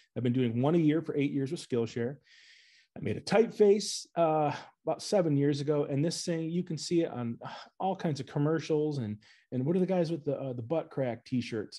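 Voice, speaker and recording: Speaking at a fairly quick pace with an Upper Midwest accent, a man has a fairly high pitch, a dark, mellow tone and ordinary pitch variation. The background is quiet. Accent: Upper Midwest American. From Northern Michigan, US Midwest. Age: 40s. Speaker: graphic designer. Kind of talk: presentation talk to an audience. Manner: animated, casual.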